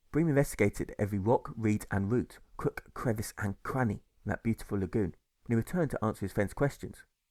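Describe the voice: Speaking at a fairly low pitch, a man has a slightly mellow tone and ordinary pitch variation. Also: fairly quick pace.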